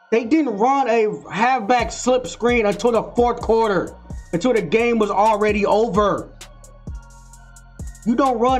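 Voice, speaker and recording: A man speaks at an extremely high pitch with ordinary pitch variation. Faint music plays in the background. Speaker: sports fan commentator. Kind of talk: post-game reaction commentary. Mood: frustrated, heated. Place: home room. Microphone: webcam.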